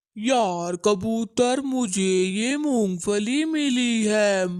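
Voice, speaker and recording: This is a cartoonish character voice. It speaks at a very slow pace. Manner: scheming, bossy.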